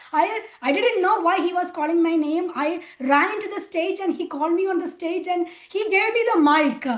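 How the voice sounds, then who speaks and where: A woman speaks at an extremely high pitch with ordinary pitch variation. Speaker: spiritual volunteer sharing testimony. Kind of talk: testimony. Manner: hesitant, many fillers.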